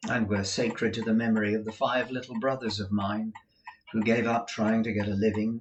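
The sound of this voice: The voice is an unforced reading voice. It simply reads.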